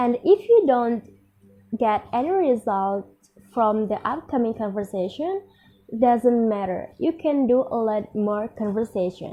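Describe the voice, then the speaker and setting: Lively intonation at a fairly slow pace, in an Indonesian accent. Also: woman, fairly high pitch for a woman. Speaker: university student. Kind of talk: speech.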